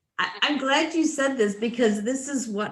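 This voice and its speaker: The delivery comes at a moderate pace and is somewhat breathy. The pitch swings very widely. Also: woman. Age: 60s. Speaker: workshop participant. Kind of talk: casual chat.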